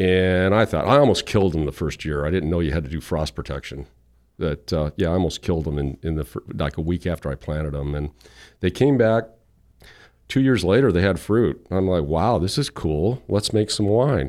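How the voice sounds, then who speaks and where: Lively intonation marks a man's very deep, low voice at a fairly quick pace. The recording is very clean, with a silent background. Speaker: vineyard owner. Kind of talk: casual interview chat. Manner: halting, repeats words.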